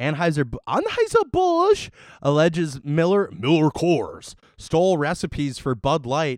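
Animated in tone, a man speaks at a fairly slow pace with lively intonation and a fairly high pitch. The recording is very clean, the background silent. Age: 20s. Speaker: beer podcast co-host. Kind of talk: casual chat.

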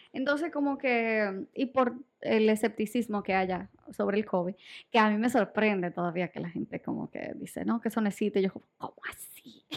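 A woman with fairly high pitch talks at a moderate pace with ordinary pitch variation and big swings in loudness. She has an ordinary speaking voice. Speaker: podcast co-host. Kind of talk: casual chat.

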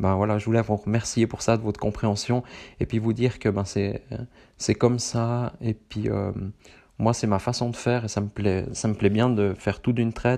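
A man with a Swiss accent speaks at a moderate pace in a fairly low, dark, mellow voice with monotone, flat intonation against a quiet background. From central Switzerland. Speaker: running podcaster. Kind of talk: casual solo monologue. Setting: seated solo recording. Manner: hesitant, many fillers.

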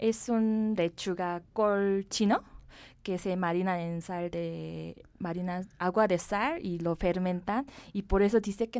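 On a very clean recording with a silent background, a woman with a Korean accent speaks at a medium pitch with fairly even intonation. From South Korea. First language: Korean (speaking Spanish). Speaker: cosmetics company director. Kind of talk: interview.

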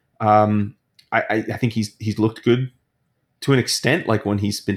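A man with a fairly low pitch talks in a plain, everyday voice. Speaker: fantasy football analyst. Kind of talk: casual interview chat.

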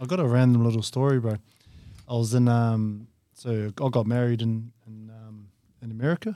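Speaking in a New Zealand accent, a man with a dark, mellow tone keeps a moderate pace and fairly even intonation while his loudness swings widely. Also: medium pitch for a man. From New Zealand, Whanganui. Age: 30s. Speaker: touch rugby player. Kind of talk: casual chat.

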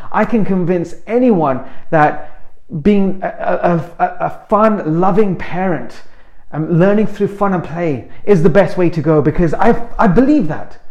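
With an animated tone, a man talks at a high pitch and a fairly slow pace, his pitch varying in an ordinary way over noticeable background noise. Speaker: motivational speaker. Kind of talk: motivational talk.

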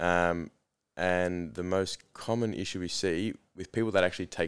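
A man talks with an Australian accent. His pitch is very deep and low, and his intonation is fairly even. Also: very clean recording, silent background. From Australia, Melbourne area. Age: 20s. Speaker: dentist. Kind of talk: casual interview chat. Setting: studio.

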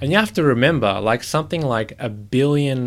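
A man with an Australian accent talks at a fairly quick pace. His pitch varies in an ordinary way. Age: 20s. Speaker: podcast guest. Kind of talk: casual chat.

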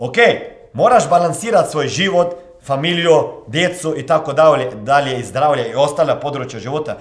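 A man speaks at a moderate pace with a fairly high pitch. Noticeable background noise and audible room echo are present. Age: 40s. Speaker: motivational coach. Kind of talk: motivational monologue.

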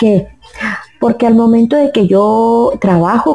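Ordinary pitch variation marks speech that unfolds at a fairly slow pace. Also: woman. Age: 50s. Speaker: oracle card reader and therapist. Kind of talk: interview. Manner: halting.

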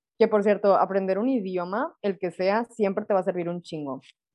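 A woman speaks fairly quickly in a normal speaking voice. Her intonation stays fairly even. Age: 20s. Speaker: podcast co-host, doctor. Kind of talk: casual chat.

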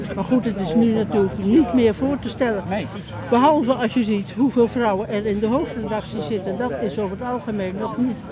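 Amid crowd noise in the background, a woman talks at a fairly quick pace in a fairly high pitch. Her pitch variation is ordinary, and audible room echo fills the sound. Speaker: retired journalist and former editor-in-chief. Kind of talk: speech at unveiling, then interview.

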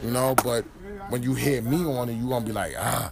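An ordinary speaking voice from a man with an American accent, medium pitch, ordinary pitch variation and a moderate pace. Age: 30s. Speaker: rapper. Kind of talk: casual interview. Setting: live event venue.

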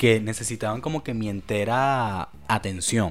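A man speaks at medium pitch with lively intonation. The recording is very clean, the background silent. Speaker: podcast host. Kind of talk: casual solo monologue. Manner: fast; halting.

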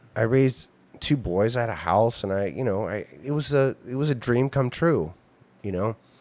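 Recorded very cleanly against a silent background, a man speaks in a normal speaking voice. His pitch is medium, with ordinary variation. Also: moderate pace. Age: 50s. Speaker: veteran comedian. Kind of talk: casual chat.

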